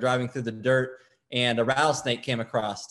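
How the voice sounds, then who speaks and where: Over a quiet background, a man with an American accent speaks at a medium pitch and a moderate pace. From Arizona, West Valley near Phoenix. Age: young. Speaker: political candidate. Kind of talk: interview about his campaign.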